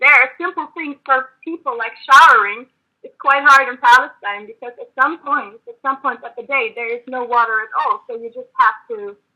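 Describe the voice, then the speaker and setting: Projecting a raised, high-pitched voice, a woman speaks at a moderate pace. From Germany. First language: German. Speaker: activist. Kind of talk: debate. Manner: halting.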